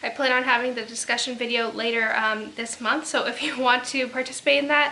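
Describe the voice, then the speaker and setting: Over noticeable background noise, a woman speaks in a high voice with monotone, flat intonation. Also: fairly quick pace. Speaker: book reviewer. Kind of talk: casual talk to camera. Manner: soft-spoken.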